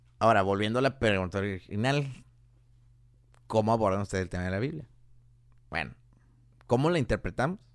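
On a very clean recording with a silent background, a man at a medium pitch speaks at a fairly quick pace. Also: long, frequent pauses. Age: 20s. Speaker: mechatronics engineer. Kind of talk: casual chat.

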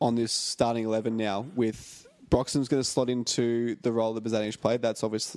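Speaking with an Australian accent, a man has a medium pitch and a dark, mellow tone. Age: 20s. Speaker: football fan podcast host. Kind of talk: casual chat. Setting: home studio.

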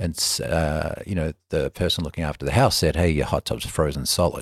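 A man with an Australian accent at a fairly quick pace, on a very clean recording with a silent background. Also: dry, close sound with no echo. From Melbourne, Australia. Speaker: spa company businessman. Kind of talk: casual interview chat. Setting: in person, Bozeman. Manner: conversational, relaxed.

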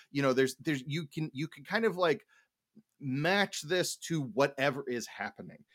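A plain, everyday voice from a man at a fairly high pitch and moderate pace, with lively intonation, big swings in loudness and a very clean recording with a silent background. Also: dry, close sound with no echo. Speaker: podcast host. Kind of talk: casual chat.

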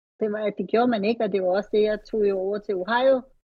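In an ordinary speaking voice, a woman talks at medium pitch and a fairly quick pace. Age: 40s. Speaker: retired bodybuilding athlete. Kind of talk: casual interview.

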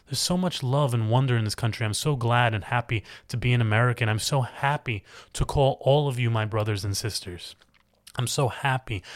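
A somewhat breathy man speaks at medium pitch with ordinary pitch variation, in a very clean recording with a silent background. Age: young. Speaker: podcast host. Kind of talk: casual monologue. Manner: unscripted, halting.

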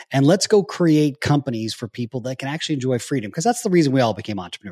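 In a dry, close sound with no echo, a man speaks at a very fast pace with lively intonation. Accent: American. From US, nomadic childhood (Japan, Germany, Florida). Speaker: business coach and company founder. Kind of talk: casual interview. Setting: video call. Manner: animated.

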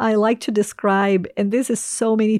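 A woman with a Portuguese accent and a fairly high pitch speaks at a fairly slow pace, in a dry, close sound with no echo on a very clean recording with a silent background. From Brazil. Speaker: ministry leader. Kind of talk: interview testimony.

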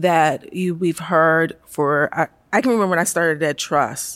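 In an American accent, a woman with a very deep, low voice speaks fairly slowly with fairly even intonation. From Baltimore, US. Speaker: education policy staffer. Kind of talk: interview conversation. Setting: recorded at a conference.

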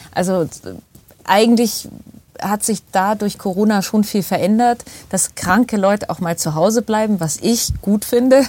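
Speaking at a fairly slow pace, a woman has a medium-pitched, dark and mellow voice. Her pitch variation is ordinary. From Bavaria, Starnberger See area. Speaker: actress and voice actor. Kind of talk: casual chat.

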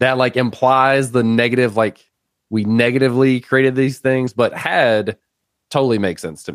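Medium pitch and moderate pace in a man's voice, a normal speaking voice. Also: fairly even intonation. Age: 30s. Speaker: podcast host, technical content creator. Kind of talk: casual chat.

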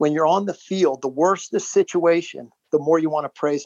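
A man with an American accent, fairly high in pitch, with ordinary pitch variation, a fairly quick pace and a plain, everyday voice. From Baltimore, Maryland, US. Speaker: businessman and former lacrosse player. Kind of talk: interview storytelling.

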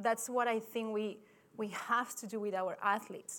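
A woman with a fairly high pitch and fairly even intonation. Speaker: sports scientist, performance director. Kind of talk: conference talk. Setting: stage with audience. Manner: halting.

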